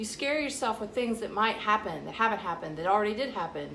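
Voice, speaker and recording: With an American accent, a woman speaks at a fairly quick pace and fairly high pitch, her intonation lively. Noticeable background noise and audible room echo fill the recording. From US South. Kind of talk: vlog monologue. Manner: casual, direct.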